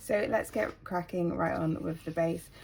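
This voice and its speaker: A woman speaks with a British accent. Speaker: planner YouTuber. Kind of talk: casual tutorial-style chat. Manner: hesitant with many ums.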